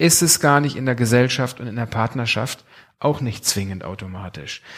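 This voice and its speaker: On a very clean recording with a silent background, a man with a plain, everyday voice talks at a moderate pace with lively intonation. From Germany, Bünde (East Westphalia). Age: 40s. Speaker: pastor. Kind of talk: sermon.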